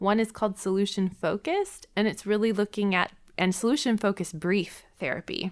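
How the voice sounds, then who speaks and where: A woman's unremarkable speaking voice with an American accent, medium in pitch, at a fairly quick pace, with very even loudness and fairly even intonation. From US Midwest, Milwaukee, Wisconsin. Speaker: therapist. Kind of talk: podcast interview.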